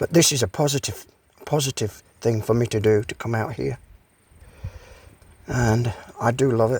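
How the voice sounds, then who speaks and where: A somewhat breathy male voice with ordinary pitch variation and long, frequent pauses. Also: medium pitch for a man, moderate pace. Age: 70s. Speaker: vlogger. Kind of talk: casual monologue vlog. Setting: outdoors.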